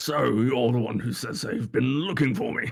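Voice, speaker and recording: Using a booming, put-on character voice, a man speaks at a moderate pace and medium pitch. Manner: pompous, grand.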